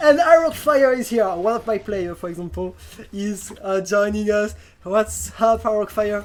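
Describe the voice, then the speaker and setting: A woman with a French accent talks at a moderate pace and medium pitch with lively intonation. Noticeable background noise is present. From France. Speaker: esports talk show host and caster. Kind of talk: live game commentary. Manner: halting, many fillers.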